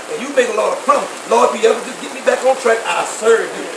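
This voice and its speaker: A man rushes along at a very fast pace while noticeable background noise plays. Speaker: preacher. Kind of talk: charismatic sermon with prayer and laying on of hands, call-and-response. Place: tent. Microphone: phone near.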